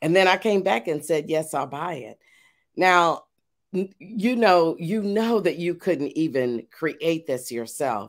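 Speaking very slowly, a woman with a fairly low pitch swings very widely in pitch on a very clean recording with a silent background. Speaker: media company owner and TV host. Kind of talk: casual interview chat. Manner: warm, inspiring, preacher-like.

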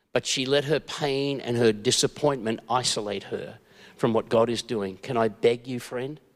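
The speaker has a natural reading voice. Nothing else stands out.

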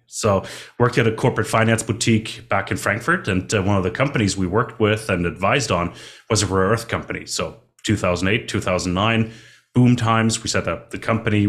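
A man's plain, everyday voice at medium pitch, with ordinary pitch variation and a fairly quick pace. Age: 30s. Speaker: mining finance consultant. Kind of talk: casual interview.

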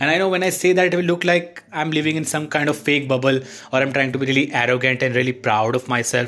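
A man talks at a very fast pace with hardly any pauses, his fairly high voice at very even loudness with ordinary pitch variation over noticeable background noise. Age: 20s. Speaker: aspiring actor, vlogger. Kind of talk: casual monologue vlog. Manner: rambling, run-on flow.

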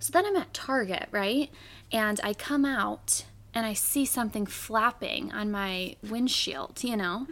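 A woman with an unremarkable speaking voice, fairly high in pitch, talks at a fairly slow pace with lively intonation. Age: 20s. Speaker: podcast co-host. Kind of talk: casual chat.

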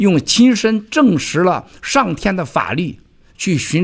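A man speaks at a very slow pace on a very clean recording with a silent background. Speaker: event keynote speaker. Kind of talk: speech to event audience.

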